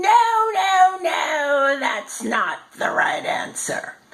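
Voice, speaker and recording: Putting on a character voice, a woman speaks at a very slow pace with an extremely high pitch. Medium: read story.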